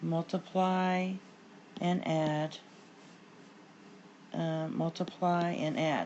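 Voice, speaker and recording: Very slowly and with long, frequent pauses, a woman speaks at a fairly low pitch in a monotone, flat intonation. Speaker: math teacher. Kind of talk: tutorial. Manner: casual with fillers.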